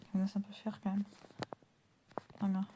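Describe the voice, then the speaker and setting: A soft-spoken woman's voice at medium pitch, with monotone, flat intonation. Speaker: gaming youtuber. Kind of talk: gameplay commentary.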